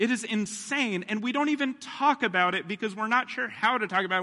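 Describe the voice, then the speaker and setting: A man speaks very fast in a raised, projected voice. His pitch is high and his tone bright and sharp. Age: 30s. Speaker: pastor. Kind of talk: sermon. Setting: church.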